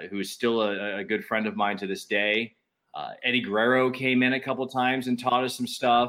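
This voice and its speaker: At a fairly quick pace, a man speaks with a medium pitch and ordinary pitch variation. It is an ordinary speaking voice. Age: 40s. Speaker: radio DJ. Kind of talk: casual chat.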